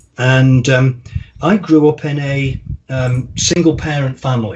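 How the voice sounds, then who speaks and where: Fairly even intonation marks a man's speech, with noticeable background noise present. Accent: American. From English Midlands, Staffordshire (the Potteries). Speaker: marketing consultant. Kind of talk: podcast interview. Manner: hesitant, many fillers.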